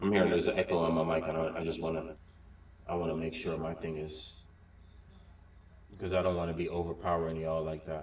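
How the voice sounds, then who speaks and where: A man speaks at a very fast pace in a very deep, low pitch, with long, frequent pauses, audible room echo and noticeable background noise. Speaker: live-stream show host. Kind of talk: casual group chat on a live stream. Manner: halting, many fillers and restarts. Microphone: echo on his mic.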